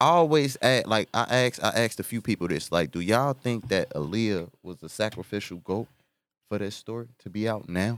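A man with a fairly low pitch and lively intonation, at a fairly quick pace, on a very clean recording with a silent background. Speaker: rapper. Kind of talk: casual podcast chat. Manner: animated, slangy.

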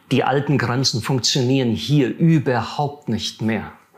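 Amid noticeable background noise, a man talks at a fairly slow pace and medium pitch with fairly even intonation. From Siegerland, western Germany. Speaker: theologian. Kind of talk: interview.

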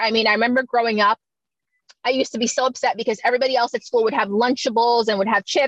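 With a Florida accent, a woman talks at a fairly high pitch with ordinary pitch variation, and the sound is dry and close with no echo. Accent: American, Florida. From Miami, Florida (born in Jamaica, moved at seven). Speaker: fashion model and modeling coach. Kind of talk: casual interview.

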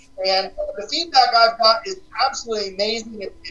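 At a moderate pace, a man speaks high in pitch with a bright, sharp tone and ordinary pitch variation.

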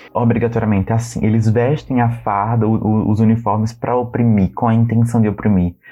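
The intonation is monotone and flat, with very even loudness and hardly any pauses. Noticeable background noise runs underneath. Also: man, medium pitch for a man. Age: 20s. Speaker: geography teaching student, podcast co-host. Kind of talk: casual chat.

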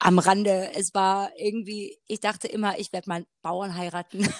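In a dry, close sound with no echo and a very clean recording with a silent background, a woman with an unremarkable speaking voice talks at a medium pitch and a fairly slow pace. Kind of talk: casual faith conversation.

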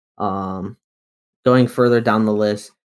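Fairly low-pitched male voice at a moderate pace, an unremarkable speaking voice. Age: 20s. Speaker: podcast host. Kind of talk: casual chat. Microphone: new USB mic.

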